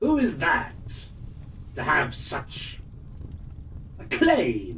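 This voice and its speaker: Clear background noise sits under a put-on character voice that moves at a very slow pace. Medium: read story. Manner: honeyed, sly.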